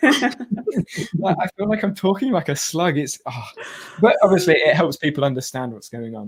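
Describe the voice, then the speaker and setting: The speaker's loudness swings widely and the pitch rises and falls over a very wide range. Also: man, high pitch for a man. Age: 20s. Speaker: tech youtuber. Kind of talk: live stream chat. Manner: fast.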